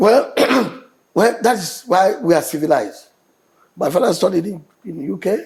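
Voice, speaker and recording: Speaking in a Nigerian accent, a man uses lively intonation at a high pitch. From Nigeria, born in Enugu. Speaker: state governor. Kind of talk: TV interview answer.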